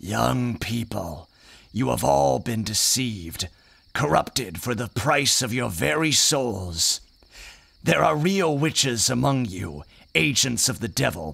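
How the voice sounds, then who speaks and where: Using a put-on character voice, a man talks fairly slowly at a fairly low pitch with very wide pitch swings. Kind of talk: audio drama dialogue, sermon-like.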